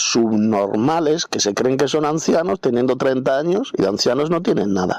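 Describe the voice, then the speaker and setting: Lively intonation at a moderate pace, with noticeable background noise. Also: man. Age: 60s. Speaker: Bible teacher. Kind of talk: Bible commentary lecture. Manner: spontaneous, unscripted.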